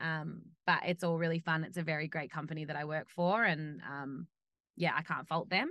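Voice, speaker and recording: A woman with an Australian accent speaks at a moderate pace in a very deep, low voice, her tone bright and sharp, her intonation fairly even. The recording is very clean with a silent background, and the sound is dry and close with no echo. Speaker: off-road racer. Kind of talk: casual chat.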